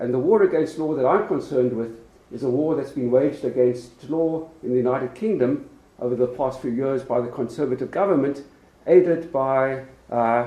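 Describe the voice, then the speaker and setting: With a South African accent, a man at medium pitch speaks at a moderate pace with ordinary pitch variation and audible room echo. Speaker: law professor. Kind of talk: lecture. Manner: hesitant with frequent fillers.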